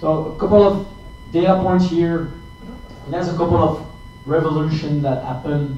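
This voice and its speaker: A man with a French accent talks at a moderate pace and fairly high pitch, his intonation fairly even, leaving long, frequent pauses amid audible room echo and noticeable background noise. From France. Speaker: tech company account manager. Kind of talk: tech talk. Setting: meetup presentation with audience. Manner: halting, many fillers and repeats.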